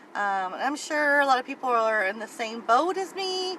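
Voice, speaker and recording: A high-pitched woman's voice with very wide pitch swings, a fairly slow pace, and noticeable background noise. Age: 50s. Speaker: weight-loss vlogger. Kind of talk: casual vlog monologue. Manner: hesitant, many fillers.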